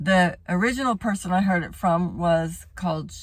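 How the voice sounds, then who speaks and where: A somewhat breathy voice with an American accent goes at a fairly slow pace on a very clean recording with a silent background. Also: woman. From Texas. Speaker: home educator and former teacher. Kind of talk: informational talk to camera. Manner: casual, with many fillers.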